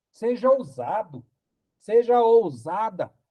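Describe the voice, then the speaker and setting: The sound is dry and close, without echo, as a man speaks in a dark, mellow tone. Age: 60s. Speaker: pastor. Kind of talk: sermon.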